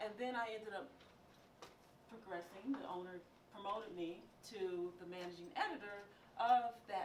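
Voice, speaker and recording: A woman's medium-pitched voice, with ordinary pitch variation, comes through audible room echo and noticeable background noise. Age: 60s. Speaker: radio news producer and film critic. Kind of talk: motivational talk.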